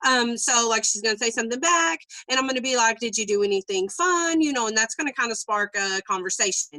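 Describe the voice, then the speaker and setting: A woman speaks in a fairly high pitch with ordinary pitch variation. The sound is dry and close, with no echo. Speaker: network marketing coach. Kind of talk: live training session. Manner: loud; fast.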